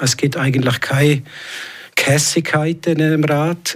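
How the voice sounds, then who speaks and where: Noticeable background noise sits behind a man speaking at a fairly high pitch. His intonation is fairly even and his pace fairly slow. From Switzerland, Graubünden. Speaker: local politician. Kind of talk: radio interview. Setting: studio. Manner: halting.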